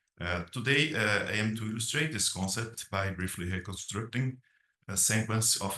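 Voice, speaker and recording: A man with a Brazilian Portuguese accent, fairly low pitch, a bright, sharp tone and a fairly slow pace. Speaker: academic dean. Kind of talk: conference presentation read aloud. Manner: hesitant, many filler sounds.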